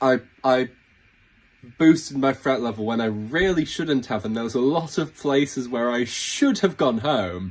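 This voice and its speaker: Speaking with a British accent, a man at a medium pitch talks at a fairly slow pace with lively intonation. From Britain. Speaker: reality game show contestant. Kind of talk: casting audition video. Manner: halting, many false starts.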